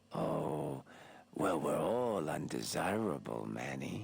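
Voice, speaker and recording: A man talks in a put-on character voice with a very deep, low pitch. His pace is fairly slow. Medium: solo performance. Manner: wheedling, theatrical.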